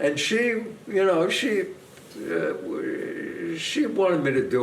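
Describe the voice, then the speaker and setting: A man speaks with a New York accent. Room echo is audible, and background noise is noticeable. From US Northeast. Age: 80s+. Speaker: actor. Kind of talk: casual chat.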